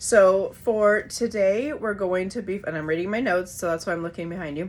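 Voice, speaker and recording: A woman speaks at a medium pitch. It is an ordinary speaking voice. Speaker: yoga and breathwork teacher. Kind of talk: online class intro and guided breathing. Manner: casual with frequent fillers.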